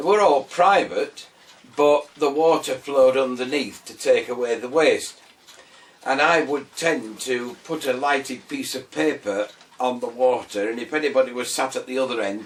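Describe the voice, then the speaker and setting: Over noticeable background noise, a man with fairly high pitch talks at a moderate pace with ordinary pitch variation and big swings in loudness. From northern England, Scarborough, North Yorkshire. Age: 60s. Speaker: retired man telling his life story. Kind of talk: personal life story interview. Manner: hesitant, many fillers.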